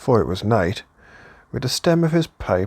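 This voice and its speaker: A man's voice with very wide pitch swings and vocal fry, dry and close with no echo. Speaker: audiobook reader. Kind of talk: classic novel reading.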